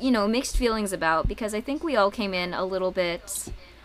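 Using a normal speaking voice, a woman with an American accent talks at a medium pitch with lively intonation. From US South. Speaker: math teacher and podcast co-host. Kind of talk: casual chat.

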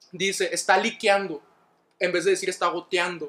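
This man's voice is high-pitched, with a bright, sharp tone. He talks at a fairly slow pace. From northern Mexico, Ciudad Juárez, Chihuahua. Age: 20s. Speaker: guest. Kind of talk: casual chat.

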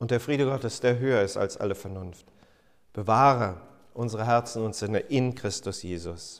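A man talks at a moderate pace in a normal speaking voice. His pitch is medium, with ordinary pitch variation. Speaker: pastor. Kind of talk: sermon. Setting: church. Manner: formal; earnest.

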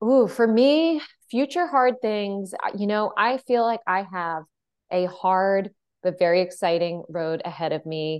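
A woman speaks with a plain, everyday voice. Her intonation is lively and her pace fairly slow. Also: medium pitch for a woman. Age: 30s. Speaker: podcast host. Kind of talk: casual chat.

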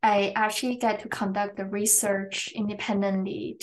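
A woman's medium-pitched voice at a fairly slow pace, with ordinary pitch variation, over noticeable background noise. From China, schooled in England. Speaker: professor and researcher. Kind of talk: interview.

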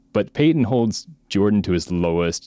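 The voice has a dark, mellow tone and an American accent. The recording is very clean with a silent background, and the sound is dry and close with no echo. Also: man. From Oregon, US. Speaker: podcast host, sports fan guest. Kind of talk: casual chat. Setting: call.

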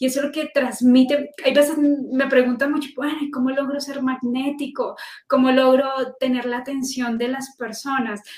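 A woman's high voice in a monotone, flat intonation at a moderate pace. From Colombia, Manizales (coffee region). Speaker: journalist and storytelling consultant. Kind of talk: interview. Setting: live stream.

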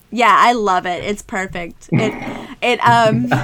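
A woman speaks at a very slow pace. Background noise is noticeable. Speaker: podcast co-host. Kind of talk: casual chat.

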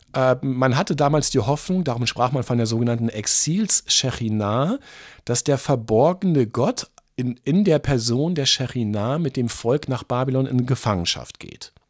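A man with an ordinary speaking voice talks at a moderate pace and medium pitch with ordinary pitch variation, on a very clean recording with a silent background. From eastern Lower Saxony, Germany. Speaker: pastor and author. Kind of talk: casual interview about theology.

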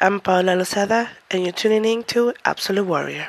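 Her pitch sits in the middle range for a woman. Background noise is noticeable throughout. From Mexico. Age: 20s. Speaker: podcast host and university student. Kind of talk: solo podcast monologue.

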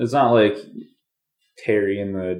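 Here is a man with an American accent. His voice sits at a medium pitch. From New York. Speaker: podcast co-host. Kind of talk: casual chat.

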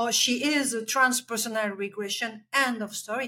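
Her voice is bright and sharp, fairly high, with a French accent. The woman speaks in a monotone, flat intonation. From Belgium. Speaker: life coach and healer. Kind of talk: interview conversation.

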